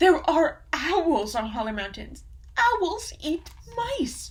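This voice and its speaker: A put-on character voice, high-pitched and very slow, over light background noise. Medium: read story. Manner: worried, careful.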